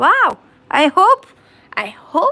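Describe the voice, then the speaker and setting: A woman with a bright, sharp tone raises and projects her voice, her pitch swinging very widely. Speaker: crafting livestreamer. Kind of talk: casual chat on livestream. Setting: live stream. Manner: halting.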